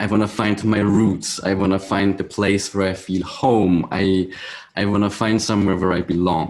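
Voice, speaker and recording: A man talks in a fairly low, monotone voice with flat intonation. His loudness stays very even. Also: moderate pace. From Switzerland. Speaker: musician, viola da gamba player. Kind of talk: interview. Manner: halting, many restarts.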